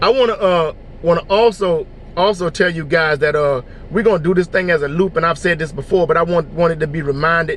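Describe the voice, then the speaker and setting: A man's high voice at a fairly quick pace. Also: ordinary pitch variation. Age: 50s. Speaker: motivational vlogger. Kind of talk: inspirational talk. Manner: fast.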